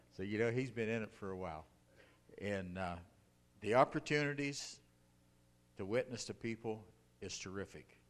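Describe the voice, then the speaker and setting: A man speaks with an American accent in a fairly low voice, with ordinary pitch variation. His pace is moderate, broken by long, frequent pauses. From northern Ohio (Akron), US Midwest. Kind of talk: testimony. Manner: casual, folksy with fillers.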